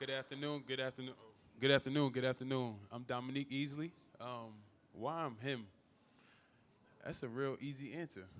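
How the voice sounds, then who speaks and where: With a New York accent, a man at medium pitch talks at a fairly quick pace, his intonation fairly even and his speech broken by long, frequent pauses. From Staten Island, New York. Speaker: former NFL player, business owner. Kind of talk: panel discussion. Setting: live event with audience.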